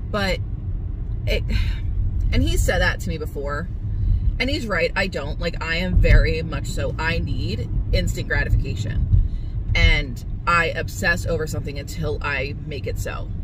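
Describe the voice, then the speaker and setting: A woman speaks at a moderate pace with long, frequent pauses, the sound dry with no echo despite loud background noise. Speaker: vlogger. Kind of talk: casual vlog chat. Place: car. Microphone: phone near.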